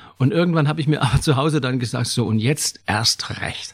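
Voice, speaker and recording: With ordinary pitch variation, the man's voice comes across somewhat breathy. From Saxony, near Zwickau. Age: 70s. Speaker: retired theatre extra. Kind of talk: casual interview.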